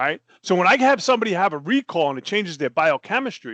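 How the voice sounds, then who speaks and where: A man's high-pitched voice with very wide pitch swings, dry and close with no echo, over a quiet background. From New Jersey, US. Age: 60s. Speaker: life coach. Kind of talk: interview. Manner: animated.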